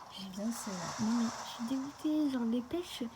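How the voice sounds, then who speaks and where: The speaker is a woman with a high-pitched voice. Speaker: gaming youtuber. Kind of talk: gameplay commentary. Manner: fast; casual.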